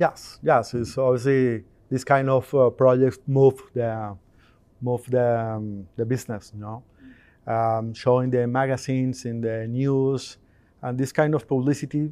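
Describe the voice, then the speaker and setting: A man with a Spanish accent talks at a fairly slow pace in a dark, mellow tone with fairly even intonation over a quiet background. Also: medium pitch for a man. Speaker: integration company owner. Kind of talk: interview at trade show. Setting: trade show. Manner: halting.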